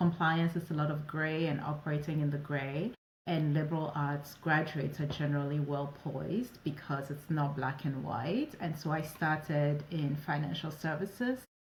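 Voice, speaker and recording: A woman with a French accent speaks at a moderate pace with a very deep, low pitch. Her loudness stays very even, and she hardly pauses. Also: fairly even intonation. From West Africa (Ivory Coast and Ghana). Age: 40s. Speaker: operations advisor and entrepreneur. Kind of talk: interview conversation.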